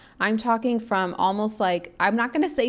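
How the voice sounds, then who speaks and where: A woman speaks in an animated tone with vocal fry. The recording is very clean, with a silent background. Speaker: spiritual podcast host. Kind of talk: solo podcast monologue. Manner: casual, animated.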